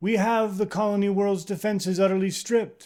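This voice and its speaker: A man puts on a character voice at high pitch. His intonation is monotone and flat, and his pace is fairly quick. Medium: read story. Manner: formal, restrained.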